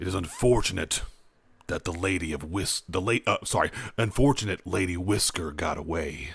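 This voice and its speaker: Very deep and low, a man's put-on character voice moves at a moderate pace over a very clean recording with a silent background. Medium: actual play. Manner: formal, vague.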